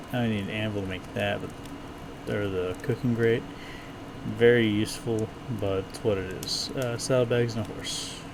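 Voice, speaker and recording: Through noticeable background noise and audible room echo, a man speaks at a fairly low pitch with fairly even intonation. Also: moderate pace. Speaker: gaming streamer. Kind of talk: let's play commentary.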